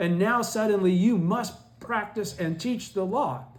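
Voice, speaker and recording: Audible room echo follows a man as he talks at a moderate pace. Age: 70s. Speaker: Buddhist study group teacher. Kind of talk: lecture. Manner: halting.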